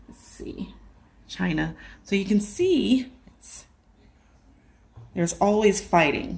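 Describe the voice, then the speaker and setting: Long, frequent pauses break up a woman's speech at a very slow pace. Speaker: religious video maker. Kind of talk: casual talk over maps. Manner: stuttering.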